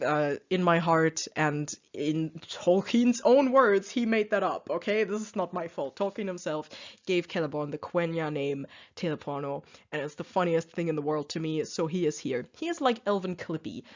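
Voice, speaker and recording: A woman with a non-native accent, fairly low pitch, lively intonation and moderate pace. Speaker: youtuber explaining a book. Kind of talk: casual presentation monologue. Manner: hesitant, many fillers.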